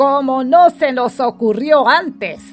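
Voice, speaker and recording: A woman puts on a rumbling character voice at a fairly slow pace. Faint music plays in the background. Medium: read story. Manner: grumbling.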